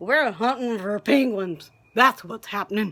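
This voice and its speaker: Put on as a character, a gruff, growling voice of fairly high pitch moves at a moderate pace. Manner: growling, gruff.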